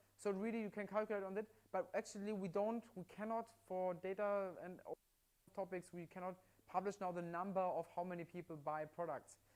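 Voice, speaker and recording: A man speaks with a German accent at a fairly quick pace. His pitch is high, and his intonation stays fairly even. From Germany. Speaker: livestream product presenter. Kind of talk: live sales demonstration. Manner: halting with repetitions.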